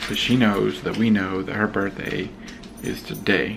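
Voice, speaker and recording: There is a man with a fairly low pitch. Noticeable background noise and audible room echo accompany him. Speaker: family vlogger. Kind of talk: casual vlog chat. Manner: whispering.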